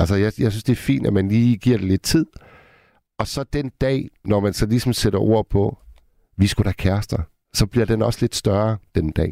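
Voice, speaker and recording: A man talks at a moderate pace with a fairly low pitch and ordinary pitch variation. His tone is dark and mellow, the sound dry and close with no echo. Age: 50s. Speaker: radio host. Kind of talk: late-night call-in radio. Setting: studio.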